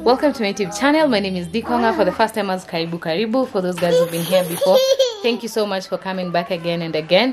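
A woman speaks very fast against loud background noise. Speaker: mother vlogger. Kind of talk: casual vlog chat. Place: home room. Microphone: phone near.

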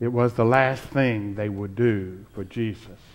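At a very slow pace, a man speaks in a fairly low pitch with fairly even intonation. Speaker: preacher, reverend. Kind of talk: Easter sermon delivered to a congregation. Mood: joyful, hopeful Easter tone. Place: church.

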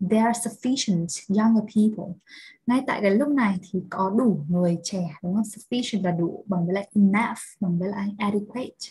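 A woman's somewhat breathy, medium-pitched voice at a moderate pace, with ordinary pitch variation. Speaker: English teacher. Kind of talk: lecture. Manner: animated.

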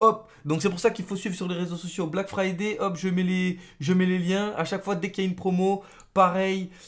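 In a quiet background, a man talks in a monotone, flat delivery at a high pitch. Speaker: gaming youtuber. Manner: slangy, casual banter with friends. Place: home room.

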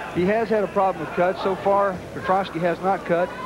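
A man talks at a fairly quick pace. Loud background noise is present, and the sound is dry with no echo. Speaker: color commentator. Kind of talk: commentary. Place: hall. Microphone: headset.

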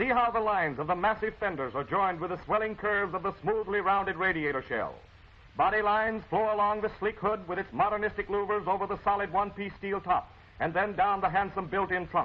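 A man talks at a very fast pace in a high pitch. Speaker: commercial film narrator. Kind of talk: promotional commentary. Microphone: old recording.

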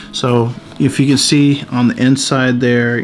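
A man with faint music in the background. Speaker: tech reviewer. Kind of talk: casual unboxing review. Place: home room.

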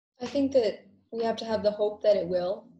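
Heard with audible room echo, a woman speaks at a moderate pace in a dark, mellow, somewhat breathy tone. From Massachusetts. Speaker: medical assistant; panelist. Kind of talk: panel discussion. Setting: video call. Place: home room. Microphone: video call.

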